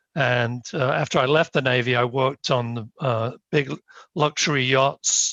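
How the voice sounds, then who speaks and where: Against a quiet background, a man with a British accent talks at a moderate pace and a medium pitch. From UK. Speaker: planning board member, engineer. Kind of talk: self-introduction at a town board meeting. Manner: halting, many fillers.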